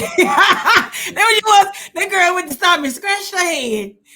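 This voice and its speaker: With a raised, projected voice, a woman talks in very wide pitch swings. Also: hardly any pauses. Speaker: podcast host. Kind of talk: casual podcast conversation.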